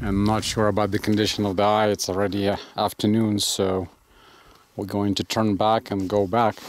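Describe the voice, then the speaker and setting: A man speaks at a fairly low pitch and a fairly slow pace. The sound is dry, without echo. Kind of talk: casual narration. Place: open country. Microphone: phone near.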